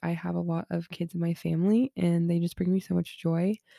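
A woman with a Californian accent speaks at a fairly low pitch in a dark, mellow tone and at a fairly quick pace. The sound is dry and close with no echo, on a very clean recording with a silent background. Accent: Californian American. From Southern California. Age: 20s. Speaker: podcast host. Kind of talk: casual monologue.

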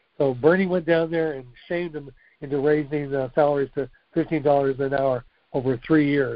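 With a plain, everyday voice, a man speaks at a moderate pace, his fairly high pitch held in fairly even intonation. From Texas. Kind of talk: casual chat.

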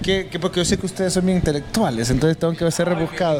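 Noticeable background noise sits behind a man with a Honduran accent. His voice is high-pitched with ordinary pitch variation. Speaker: youtuber and interviewer. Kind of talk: casual interview.

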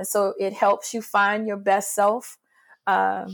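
On a very clean recording with a silent background, a woman at medium pitch speaks at a very slow pace. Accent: New Orleans. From New Orleans, Louisiana (born in Mississippi). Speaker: arts director and choreographer. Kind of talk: interview conversation.

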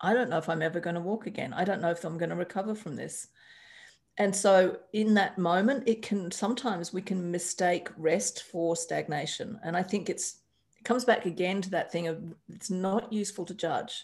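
Very clean recording with a silent background: a somewhat breathy woman with an Australian accent, medium pitch, moderate pace and ordinary pitch variation. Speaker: astrologer and life coach. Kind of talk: interview conversation. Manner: animated.

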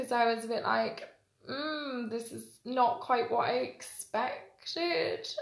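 A woman talks at a very slow pace in a space with audible room echo. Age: 20s. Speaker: podcast guest. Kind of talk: casual chat.

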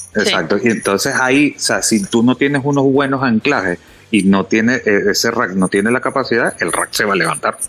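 With music in the background, a man speaks at a fairly quick pace and very even loudness, in a medium pitch with ordinary pitch variation. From Venezuela. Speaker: off-road outfitter. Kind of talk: podcast interview. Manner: halting, repeats words.

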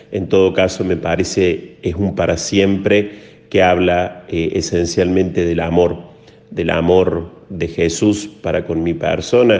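Very deep and low, a man's voice holds a monotone, flat intonation. His pace is fairly slow. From Córdoba, Argentina. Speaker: priest. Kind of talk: interview. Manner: halting.

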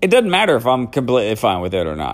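A man speaks in an animated tone at a fairly quick pace. His pitch swings very widely. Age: 40s. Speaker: podcast host. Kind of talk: casual solo storytelling.

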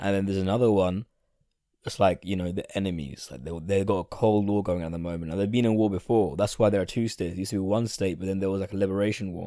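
A man with a fairly low voice and a dark, mellow tone speaks at a very fast pace on a very clean recording with a silent background. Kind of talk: casual monologue. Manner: animated.

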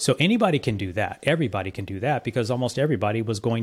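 Very fast and somewhat breathy, the speech comes with an American accent and lively intonation in a very clean recording with a silent background. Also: man. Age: 50s. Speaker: entrepreneur and business coach. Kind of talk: interview conversation.

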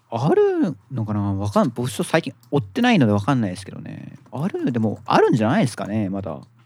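With hardly any pauses, a man talks in big swings of loudness against noticeable background noise. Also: fairly quick pace. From Hokkaido, Japan. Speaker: podcast host, gadget enthusiast. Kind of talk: casual chat. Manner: casual, hesitant, filler-heavy.

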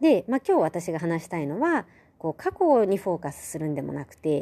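A woman's fairly low voice with very wide pitch swings at a moderate pace. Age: 30s. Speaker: podcast host. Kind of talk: solo podcast monologue. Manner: casual, with many fillers.

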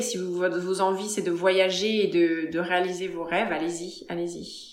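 Noticeable background noise behind a woman at medium pitch, fairly slow, with hardly any pauses and fairly even intonation. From France, Paris area. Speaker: retired dancer and yoga teacher. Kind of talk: casual interview.

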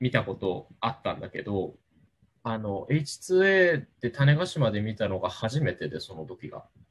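A man speaks at a fairly slow pace with very wide pitch swings. His voice is somewhat breathy. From Japan, Kagoshima. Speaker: leader of a space outreach group. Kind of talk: casual interview. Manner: halting with many fillers.

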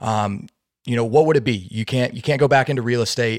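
A normal speaking voice with fairly even intonation, on a very clean recording with a silent background. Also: man. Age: young. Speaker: podcast host. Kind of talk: interview.

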